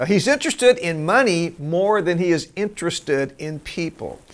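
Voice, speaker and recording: Against a silent background in a very clean recording, a man talks in a high pitch. His pace is fairly slow and his pitch swings very widely. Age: 70s. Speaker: pastor. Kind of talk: sermon.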